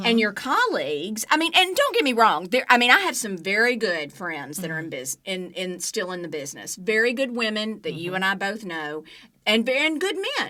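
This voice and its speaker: A woman's fairly high voice with a Southern US accent, very wide pitch swings and a fairly quick pace, over noticeable background noise. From Alabama, US South. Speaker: TV news journalist. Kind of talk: interview answer.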